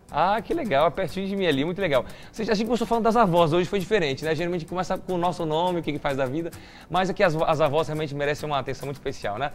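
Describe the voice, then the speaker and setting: Music plays in the background as a man talks at a very fast pace. His pitch is fairly high and his tone animated. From Curitiba, southern Brazil. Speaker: TV show host. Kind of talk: TV Bible study talk show.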